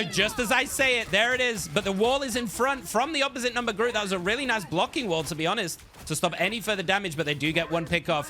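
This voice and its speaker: Over background music, a man talks at a very fast pace in an excited, energetic tone with very wide pitch swings. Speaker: esports shoutcaster. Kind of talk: play-by-play shoutcast. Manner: fast, excited, energetic.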